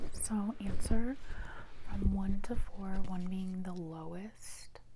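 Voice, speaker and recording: Noticeable background noise surrounds a woman who is soft-spoken. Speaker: ASMR performer; meditation guide. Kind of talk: ASMR role play.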